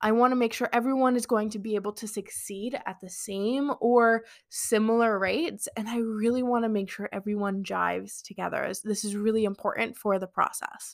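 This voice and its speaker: On a very clean recording with a silent background, a woman with a fairly high pitch talks in a plain, everyday voice with hardly any pauses. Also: fairly even intonation. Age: 20s. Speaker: podcast host and business coach. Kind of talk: solo podcast monologue. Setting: live stream on social media. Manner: casual, filler-heavy.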